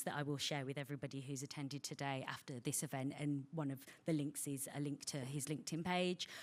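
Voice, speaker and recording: Monotone and flat, this woman's voice sits at a very deep, low pitch. She speaks with a Birmingham accent. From England, Birmingham (West Midlands). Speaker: bank representative giving a funding talk. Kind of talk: presentation to an audience. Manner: frequent fillers (um).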